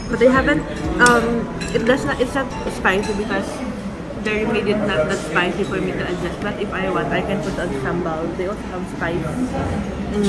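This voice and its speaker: Moderate pace and ordinary pitch variation, with clear music in the background. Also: woman. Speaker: food vlogger. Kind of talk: casual vlog chat. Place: cafe.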